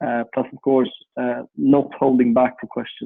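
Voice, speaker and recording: A man's voice at medium pitch. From Sweden. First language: Swedish. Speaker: funding platform executive, former special forces. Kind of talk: interview.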